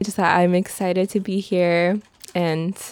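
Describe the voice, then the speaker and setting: The speaker has an American accent and talks at a fairly slow pace. The intonation is monotone and flat. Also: woman. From China, then Washington DC. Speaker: newspaper reporter. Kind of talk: interview. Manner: shy, laughs often.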